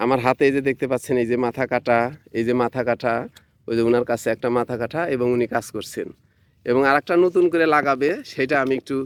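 In a very clean recording with a silent background and a dry, close sound with no echo, a man with a medium pitch talks in an unremarkable speaking voice with fairly even intonation. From Bangladesh, Sirajganj district. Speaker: YouTube vlogger. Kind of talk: on-location video tour and interview.

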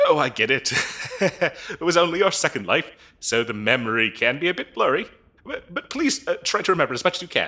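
Putting on a character voice, a man talks at a fairly quick pace with few pauses, a fairly high pitch, big pitch swings and a bright, sharp tone.

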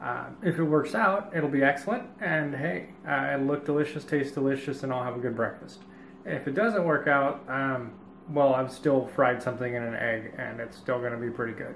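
At a moderate pace and with ordinary pitch variation, a man speaks amid audible room echo and light background noise. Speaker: cooking show host. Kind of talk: casual vlog chat. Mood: sleepy, joking. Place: kitchen. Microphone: phone near.

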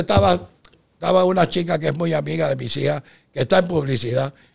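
At a moderate pace, a man with a fairly high pitch talks with very wide pitch swings. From Panama. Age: 80s+. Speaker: boxing TV show producer. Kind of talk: podcast interview.

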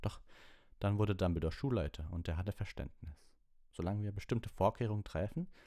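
The clip is read aloud in a natural voice. Pitch variation is ordinary.

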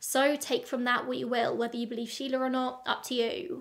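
Over a quiet background, a woman with an English accent talks at a fairly quick pace in a high pitch. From England. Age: 20s. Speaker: true crime youtuber. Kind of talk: scripted narration. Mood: serious, measured. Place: home room.

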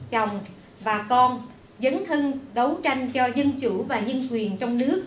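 A woman speaks very slowly in a high voice with ordinary pitch variation, light background noise, and audible room echo. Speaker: event organizer, women's association chapter head. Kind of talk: formal event welcome speech. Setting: stage with audience at a library event. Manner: formal. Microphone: podium.

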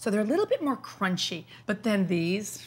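A woman speaks at a fairly slow pace. Her voice has vocal fry. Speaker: cooking teacher. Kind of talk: tutorial. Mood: cheerful, warm. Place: kitchen.

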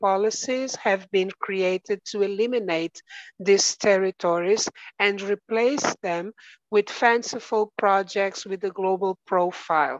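A woman with a Portuguese accent talks at a fairly slow pace with fairly even intonation, the sound dry with no echo and the background quiet. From Angola. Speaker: architecture researcher and teacher; teacher. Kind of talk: conference panel presentation. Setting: video call. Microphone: video call.

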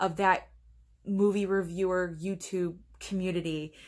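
A woman speaks at a fairly slow pace in a monotone, flat intonation. The recording is very clean, with a silent background. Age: 30s. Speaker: YouTuber, movie reviewer. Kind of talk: casual vlog monologue. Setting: home bedroom.

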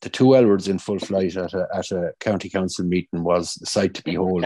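Over a quiet background, a man with a Kilkenny Irish accent speaks in a very deep, low pitch with a dark, mellow tone. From Ireland. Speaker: politician. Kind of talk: casual chat. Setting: video call. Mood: warm, reflective tribute. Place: home room. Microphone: video call.

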